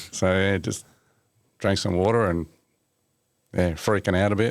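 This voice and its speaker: The voice carries an Australian accent. The pace is moderate. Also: man. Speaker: mechanic and motorsport journalist. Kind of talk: casual chat. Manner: animated storytelling.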